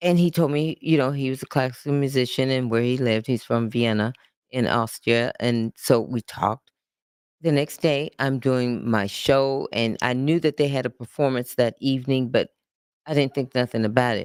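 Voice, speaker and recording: A woman with a very deep, low pitch talks at a moderate pace with fairly even intonation, in a very clean recording with a silent background and a dry, close sound with no echo. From United States. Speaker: performer telling life story. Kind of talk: casual interview storytelling. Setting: filmed chat show. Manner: halting.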